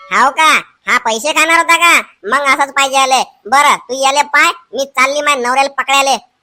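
In a put-on character voice, a woman speaks at a high pitch with fairly even intonation and very even loudness. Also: moderate pace. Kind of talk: comic overacting. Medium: comedy sketch. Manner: loud, scolding, threatening.

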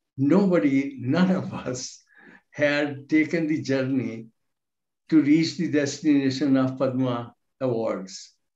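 A man with a dark, mellow tone speaks at a very slow pace and fairly high pitch with ordinary pitch variation, against a quiet background with audible room echo. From India. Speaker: law professor. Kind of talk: panel speech. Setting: video call. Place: home room. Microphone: video call.

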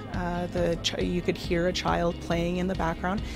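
A woman talks at a fairly quick pace while clear music sits behind her voice. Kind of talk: interview answer. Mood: calm, explanatory. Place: office.

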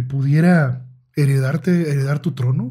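A man speaking at a very slow pace. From Mexico. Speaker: podcast host. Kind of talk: interview. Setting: studio.

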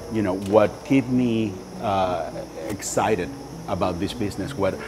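Clear music plays in the background as a man speaks at a fairly low pitch with ordinary pitch variation. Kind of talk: interview answer. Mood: enthusiastic, warm. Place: shop. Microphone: lapel.

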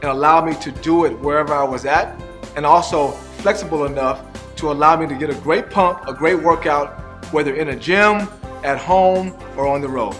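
Over background music, a man talks at a moderate pace with a fairly high pitch and ordinary pitch variation. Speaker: fitness coach. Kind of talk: infomercial testimonial.

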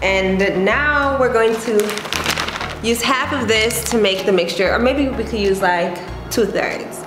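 With music in the background, a woman talks at a moderate pace and ordinary pitch variation. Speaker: vlogger. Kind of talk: casual vlog chat. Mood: playful, lightly exasperated. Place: kitchen. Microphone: phone near.

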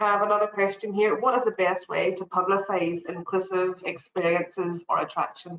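Over light background noise and audible room echo, a woman talks with a Northern Irish accent and fairly even intonation. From Northern Ireland. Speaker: tourism quality assurance officer; webinar host moderator. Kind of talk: webinar hosting. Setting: video call. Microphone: video call.

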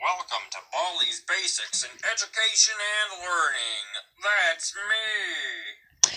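A put-on character voice with a fairly high pitch moves at a fairly slow pace. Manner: cheery, chirpy.

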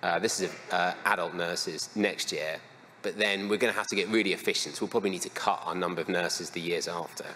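A man talks at a very fast pace with a fairly low pitch and ordinary pitch variation. Light background noise can be heard. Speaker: conference speaker. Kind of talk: lecture. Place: hall.

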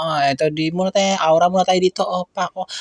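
At a very fast pace, a man speaks in a high pitch. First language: Cebuano (Bisaya) (speaking Tagalog). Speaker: vlogger. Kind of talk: travel vlog. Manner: animated, frequent laughter.

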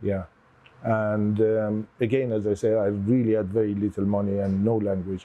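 A man with a fairly low pitch speaks in monotone, flat intonation at very even loudness and a moderate pace. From Iran. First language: Persian. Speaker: immigrant business owner. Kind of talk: personal storytelling interview. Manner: halting, frequent fillers. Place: cafe. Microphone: lapel.

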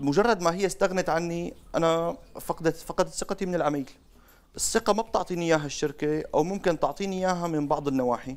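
At a fairly quick pace, a man speaks in a high-pitched voice with ordinary pitch variation. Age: 20s. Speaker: salesman, marketing expert; salesman. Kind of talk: interview. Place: studio. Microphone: lapel.

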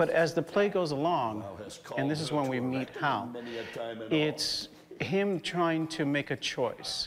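A man talks very slowly, leaving long, frequent pauses, while noticeable background noise sits underneath. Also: ordinary pitch variation. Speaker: stage actor. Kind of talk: interview. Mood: thoughtful, explanatory. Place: stage. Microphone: lapel.

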